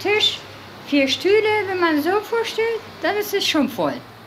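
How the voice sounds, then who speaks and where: A woman speaks at a fairly slow pace with a Turkish accent. Light background noise sits behind her. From Turkey. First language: Turkish (speaking German). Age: 30s. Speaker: factory worker returning to Turkey. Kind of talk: documentary interview.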